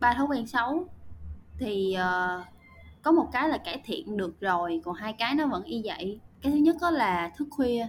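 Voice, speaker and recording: Her pitch is fairly high, and it swings very widely. The woman speaks at a fairly slow pace. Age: 20s. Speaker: marketing and content professional, university student. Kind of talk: casual interview.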